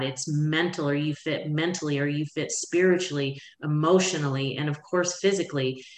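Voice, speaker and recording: Against noticeable background noise, a woman with an American accent and very deep, low pitch speaks at a moderate pace with fairly even intonation. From Florida, Pensacola. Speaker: life coach. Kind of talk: interview. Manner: loud.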